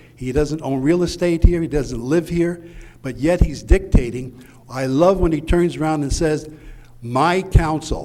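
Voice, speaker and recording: Over noticeable background noise, a man talks at a fairly slow pace and a fairly high pitch, his pitch variation ordinary. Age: 70s. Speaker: retired police officer speaking at a town meeting. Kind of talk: public meeting speech.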